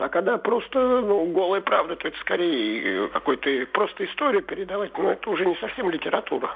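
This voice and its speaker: A high-pitched male voice at a fairly quick pace, with very wide pitch swings and noticeable background noise. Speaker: caller. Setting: phone call.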